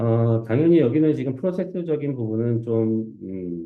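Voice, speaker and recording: In a normal speaking voice, a man talks at a fairly slow pace. His pitch is fairly low, and his intonation is lively. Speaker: conference speaker, research engineer. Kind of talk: conference talk Q&A. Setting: stage with audience.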